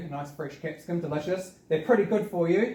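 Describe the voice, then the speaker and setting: A man's high voice in a New Zealand accent with ordinary pitch variation. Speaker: community gardening speaker. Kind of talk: seminar presentation. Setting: seminar with audience. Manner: fast.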